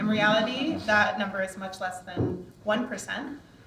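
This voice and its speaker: Against noticeable background noise and audible room echo, a woman with an American accent speaks at a medium pitch. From United States. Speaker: charity panelist. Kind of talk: panel discussion.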